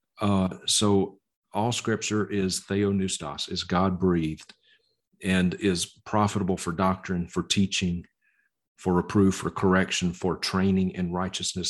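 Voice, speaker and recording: A man with a Southern US accent speaks in a very deep, low pitch. His intonation is monotone and flat against a quiet background. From Mississippi, US South. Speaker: evangelist and Bible teacher. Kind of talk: podcast interview.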